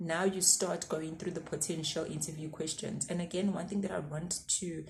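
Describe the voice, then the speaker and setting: A woman's fairly low, somewhat breathy voice at a moderate pace, with monotone, flat intonation. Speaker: YouTuber giving career advice. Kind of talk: casual advice vlog.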